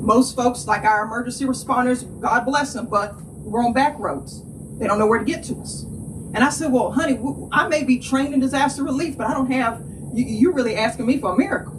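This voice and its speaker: In a North Carolina accent, a woman speaks at a fairly quick pace and a high pitch with ordinary pitch variation, amid noticeable background noise and audible room echo. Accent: Southern rural North Carolina. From North Carolina, Appalachia. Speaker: nonprofit co-founder and environmental justice advocate. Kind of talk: public speech at press conference. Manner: animated.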